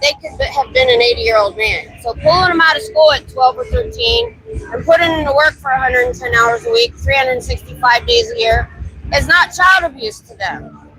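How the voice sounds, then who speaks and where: Over noticeable background noise, a woman with an American accent talks fairly quickly, her loudness swinging widely. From Ohio. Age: 50s. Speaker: street activist and live streamer. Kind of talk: live street stream chat. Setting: outdoors on busy bar street.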